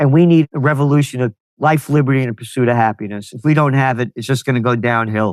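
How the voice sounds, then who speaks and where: With a New York accent, a man speaks at medium pitch. His pace is fairly quick. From US Northeast (New York, Bronx). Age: 70s. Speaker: trend forecaster and publisher. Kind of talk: interview. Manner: animated.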